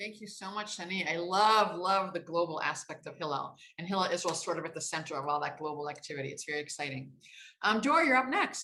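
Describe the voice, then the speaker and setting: At a very fast pace, a woman with an American accent speaks in a warm, enthusiastic, bright and sharp tone at a fairly low pitch. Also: ordinary pitch variation, big swings in loudness. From United States. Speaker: panel moderator, organization staff. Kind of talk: event speech, moderating.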